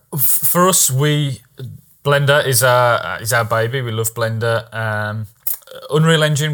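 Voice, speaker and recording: A man with a British accent talks with ordinary pitch variation. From Britain. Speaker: podcast host. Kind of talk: casual interview. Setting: video call.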